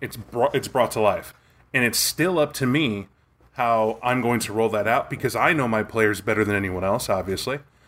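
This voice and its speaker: Speaking at a moderate pace, a man with an unremarkable speaking voice and a medium pitch shows ordinary pitch variation on a very clean recording with a silent background. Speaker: podcast co-host. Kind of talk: casual interview.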